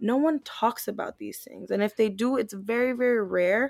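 Recorded with a dry, close sound and no echo, a woman uses a plain, everyday voice at a moderate pace with fairly even intonation. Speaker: podcast co-host. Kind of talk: casual podcast chat.

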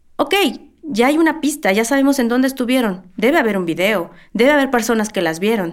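A woman with a normal speaking voice at a fairly high pitch, lively intonation, a fairly quick pace and very even loudness, in a very clean recording with a silent background. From Mexico City. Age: 40s. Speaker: museum worker, relative of a missing person. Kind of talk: interview testimony.

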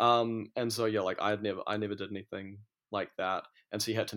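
A man with a New Zealand accent talks at a very fast pace in a fairly low pitch. His intonation is monotone and flat, and the background is quiet. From New Zealand, Auckland. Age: 30s. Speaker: DJ and fashion brand owner. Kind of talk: casual chat.

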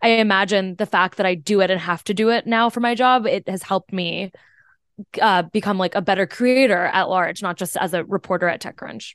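A woman talks at a moderate pace in a normal speaking voice, with a quiet background and a dry, close sound with no echo. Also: medium pitch for a woman, ordinary pitch variation. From US, Indian immigrant family. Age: 20s. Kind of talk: casual chat. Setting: video call.

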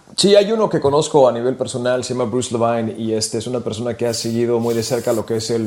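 A man with a medium pitch talks very fast. Noticeable background noise sits behind him. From California, Mexican-American family from Michoacán. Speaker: sports radio broadcaster. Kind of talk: casual chat.

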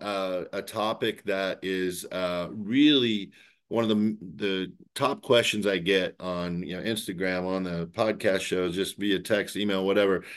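A man talks in a normal speaking voice at a fairly low pitch, with ordinary pitch variation and a fairly slow pace. The background is quiet. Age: 50s. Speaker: podcast host, healthcare author. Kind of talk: interview.

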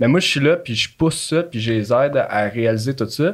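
Speaking in a plain, everyday voice, a man keeps a medium pitch, ordinary pitch variation and a moderate pace. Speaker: podcast studio staff. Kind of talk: casual chat. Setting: studio.

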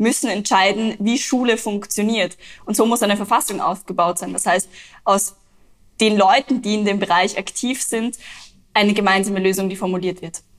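With an ordinary speaking voice, a woman talks at medium speed and medium pitch. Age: 20s. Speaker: climate activist. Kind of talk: interview.

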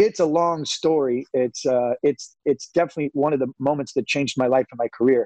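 A man's dark, mellow tone with a West Coast US accent. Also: dry, close sound with no echo. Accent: General American, West Coast. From Northern California. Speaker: golf media personality, former photo editor. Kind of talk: interview. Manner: halting, many fillers.

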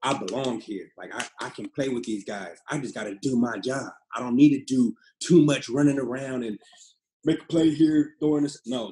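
This man has an ordinary speaking voice with medium pitch and ordinary pitch variation. He keeps a moderate pace while his loudness swings widely. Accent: American. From US West Coast, Pasadena, California. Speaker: professional football quarterback. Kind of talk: casual interview.

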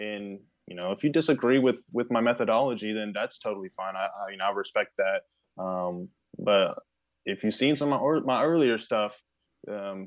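Ordinary pitch variation and a moderate pace from a man with an ordinary speaking voice. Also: fairly low pitch for a man. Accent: American. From Kansas, US Midwest. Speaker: pitching coach. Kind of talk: podcast interview.

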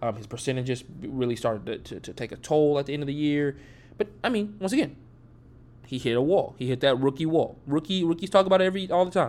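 Lively intonation marks this man's speech. He talks very fast. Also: fairly high pitch for a man. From Atlanta, Georgia. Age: 20s. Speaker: sports podcaster. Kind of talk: solo sports commentary podcast. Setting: home recording, early morning. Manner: casual, filler-heavy.

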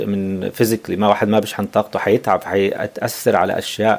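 This man's fairly low voice holds a monotone, flat intonation while he talks at a moderate pace. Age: 40s. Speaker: life coach. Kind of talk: casual interview. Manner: code-switching Arabic and English; halting.

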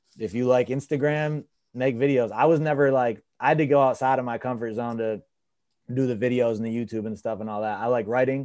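Against a quiet background, a man talks at a fairly quick pace. He has an unremarkable speaking voice at a medium pitch. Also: fairly even intonation. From Lansing, Michigan. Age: 30s. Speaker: rapper. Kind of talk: casual chat.

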